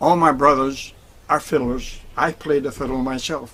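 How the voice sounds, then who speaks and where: The speaker talks at a moderate pace with an American accent. Intonation stays fairly even. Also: man. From northern Maine, US (Fort Kent, French-speaking area). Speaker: harmonica player. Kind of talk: personal storytelling. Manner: halting.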